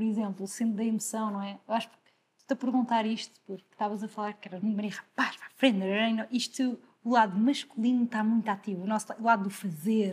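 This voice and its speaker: Very fast and somewhat breathy, a woman speaks at a fairly high pitch with monotone, flat intonation and big swings in loudness. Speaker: podcast host. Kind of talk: interview.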